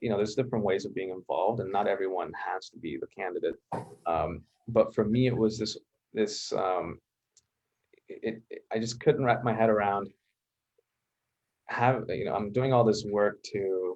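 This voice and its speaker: A man talks at a moderate pace and a fairly low pitch, with ordinary pitch variation, big swings in loudness and long, frequent pauses. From Colombia, then Hamilton, Canada. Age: 20s. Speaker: school board trustee. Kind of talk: interview. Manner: halting.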